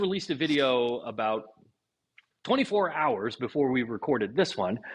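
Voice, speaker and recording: A man with an American accent, medium pitch, lively intonation, a moderate pace broken by long, frequent pauses, and a quiet background. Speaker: woodworking podcast co-host. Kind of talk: casual chat. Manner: halting, repeats words.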